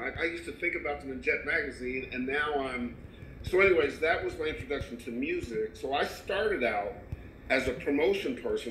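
Fairly quick speech from a man, in audible room echo. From Canada and Kentucky. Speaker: music industry executive and talk show co-host. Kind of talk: interview.

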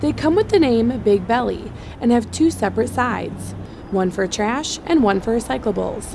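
A woman's fairly high voice with lively intonation at a moderate pace, amid noticeable background noise. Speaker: news reporter. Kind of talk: TV news package narration.

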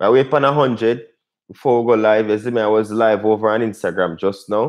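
A man is speaking. Behind him, the background is quiet. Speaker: cooking channel host. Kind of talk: casual live stream chat. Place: home room.

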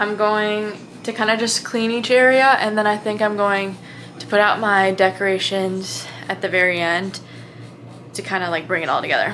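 A woman's fairly even intonation at a fairly slow pace, with light background noise. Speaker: college student vlogger. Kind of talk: casual vlog chat. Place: home room.

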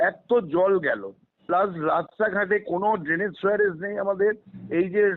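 A man speaks at a high pitch. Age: 70s. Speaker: local resident complaining. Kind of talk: testimony.

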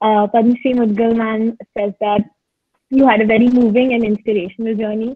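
In a quiet background, a woman speaks at a fairly quick pace with a fairly high, somewhat breathy voice. Her intonation is monotone and flat. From India. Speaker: student moderator. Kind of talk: Q&A moderation. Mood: polite, friendly. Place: home room. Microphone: earbuds.

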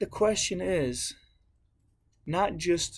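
A man talks with a fairly high pitch and vocal fry. His intonation is lively.

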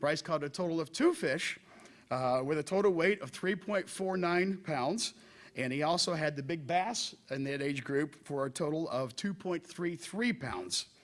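A man speaks at a fairly high pitch with lively intonation. His pace is moderate. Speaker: teacher. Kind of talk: speech at a public meeting. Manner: loud; halting, many fillers.

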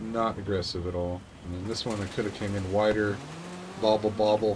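There is noticeable background noise. Through it, a man speaks at a fairly low pitch. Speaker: gaming YouTuber. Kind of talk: casual gameplay commentary. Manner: animated, excitable. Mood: relaxed, self-critical.

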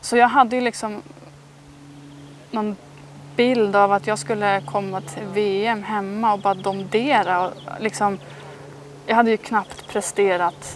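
A woman at a fairly slow pace, long, frequent pauses, a dry sound with no echo and light background noise. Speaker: interviewee. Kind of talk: interview answer. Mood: calm, reflective. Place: garden. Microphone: lapel.

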